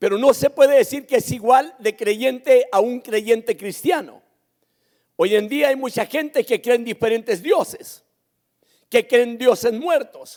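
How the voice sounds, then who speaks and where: A man with an extremely high pitch and ordinary pitch variation speaks at a fairly slow pace. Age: 60s. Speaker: pastor. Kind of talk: sermon. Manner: emphatic, repetitive preaching.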